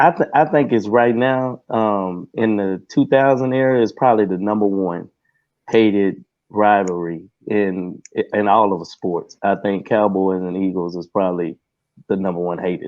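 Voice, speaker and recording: A man with a Texan accent at a moderate pace. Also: fairly low pitch for a man, ordinary pitch variation. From Texas. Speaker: Cowboys fan, Q&A guest. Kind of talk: casual sports chat. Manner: halting.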